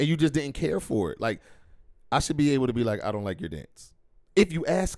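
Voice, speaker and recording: An American accent with vocal fry, a fairly quick pace broken by long, frequent pauses, very wide pitch swings and big swings in loudness, on a very clean recording with a silent background. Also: man, fairly high pitch for a man. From Philadelphia, US. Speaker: podcast host. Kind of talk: casual chat.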